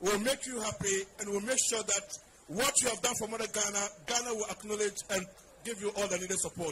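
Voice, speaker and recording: Noticeable background noise runs behind a man with a high voice. He talks at a fairly quick pace with ordinary pitch variation. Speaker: ringside interviewer host. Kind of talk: interview questions. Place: stadium. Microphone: handheld.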